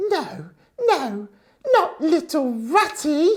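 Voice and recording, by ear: This put-on character voice sits at an extremely high pitch. It moves in very wide pitch swings.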